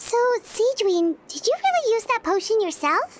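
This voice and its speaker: A squeaky, put-on character voice at an extremely high pitch. It moves at a moderate pace. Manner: surprised.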